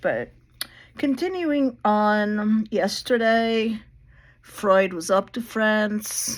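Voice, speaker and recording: A woman with a fairly high pitch is speaking. Her pace is very slow. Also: ordinary pitch variation. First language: Portuguese. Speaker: video blogger talking about therapy history. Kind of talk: casual lecture-style monologue. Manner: halting.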